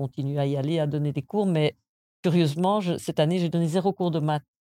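A woman's very deep, low voice, dark and mellow in tone, with fairly even intonation, a dry, close sound with no echo, and a very clean recording over a silent background. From Belgium (moved from the US at 6). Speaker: university maths professor. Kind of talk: interview.

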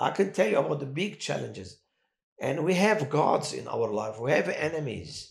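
With vocal fry and very wide pitch swings, a man speaks at a moderate pace in a fairly high register. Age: 60s. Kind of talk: testimony in a casual interview. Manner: emotional and animated.

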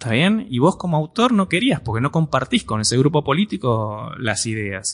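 A somewhat breathy man speaks with very wide pitch swings and hardly any pauses. The background is quiet and the sound dry and close, with no echo. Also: medium pitch for a man, moderate pace. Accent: Rioplatense. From Argentina. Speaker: computer science teacher. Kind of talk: interview. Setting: university.

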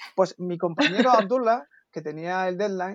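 With ordinary pitch variation, the man keeps a moderate pace. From Berber (North African) heritage. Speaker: AI researcher. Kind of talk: interview.

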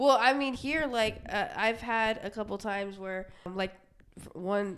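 With an American accent, a woman talks at a moderate pace and medium pitch in an unremarkable speaking voice. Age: 20s. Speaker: podcast co-host. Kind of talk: casual chat.

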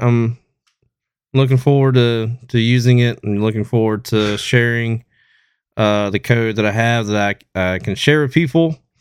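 A man at medium pitch speaks at a moderate pace in a normal speaking voice. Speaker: podcast co-host. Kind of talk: casual chat. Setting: studio.

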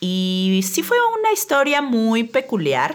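Her pitch swinging very widely, a woman speaks over noticeable background noise. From Mexico City. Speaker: public relations agency owner, podcast host. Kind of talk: casual podcast conversation.

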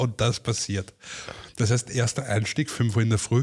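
A man with a medium-pitched, somewhat breathy voice talks at a moderate pace with fairly even intonation, on a very clean recording with a silent background. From Austria, Vienna. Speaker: former TV and radio reporter, artist manager. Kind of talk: casual chat.

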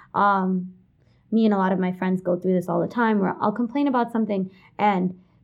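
Using a medium pitch and ordinary pitch variation, a woman with a New York accent speaks at a moderate pace. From New York City (Kensington, Brooklyn). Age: 20s. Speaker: college student. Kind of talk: interview.

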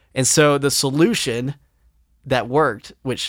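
Recorded very cleanly against a silent background, a man speaks in an ordinary speaking voice at a fairly slow pace with fairly even intonation, the sound dry and close with no echo. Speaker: podcast host, music producer. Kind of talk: casual chat. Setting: home studio.

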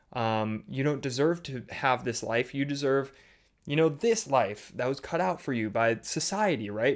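Over a silent background in a very clean recording, a man speaks with a Midwestern American accent and lively intonation. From US Midwest, Chicago suburbs. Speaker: podcast host, business coach. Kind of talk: solo podcast monologue. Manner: halting, many fillers and repeated words.

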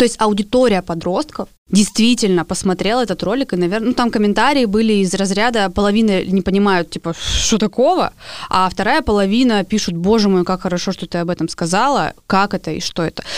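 A woman talks at a fairly quick pace in an ordinary speaking voice of medium pitch, with ordinary pitch variation. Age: 20s. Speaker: podcast co-host, artist and blogger. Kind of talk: casual chat.

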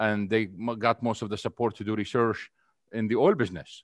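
A man with an Arabic accent and a medium pitch speaks in a dry, close sound with no echo over a quiet background. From Syria and Saudi Arabia. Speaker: energy economist. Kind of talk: interview.

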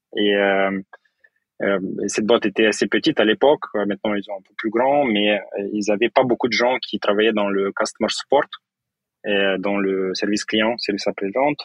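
At a moderate pace, a fairly low-pitched man speaks with fairly even intonation, big swings in loudness and long, frequent pauses. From Moldova. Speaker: tech startup co-founder and CTO. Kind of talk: interview. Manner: halting.

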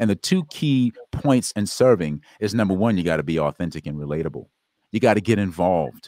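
With an American accent, a man at a fairly low pitch talks at a fairly quick pace with very wide pitch swings, in a dry, close sound with no echo on a very clean recording with a silent background. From US South, South Carolina. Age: 30s. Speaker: wellness coach and speaker. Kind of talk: interview testimony.

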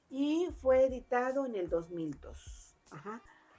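Background music beneath a voice with very wide pitch swings. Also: woman. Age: 60s. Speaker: book podcast co-host. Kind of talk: casual chat.

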